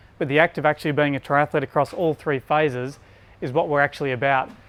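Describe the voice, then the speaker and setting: Using an Australian accent, a man speaks at a very fast pace and a fairly high pitch with fairly even intonation, and the sound is dry and close with no echo. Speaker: bike fitter. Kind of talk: presentation. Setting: store with audience.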